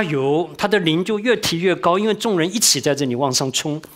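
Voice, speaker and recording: Lively intonation runs through this man's speech. His pitch is high and his pace fairly quick. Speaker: church teacher. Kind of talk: sermon-style Bible teaching. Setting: church class. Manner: fast talker. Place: hall.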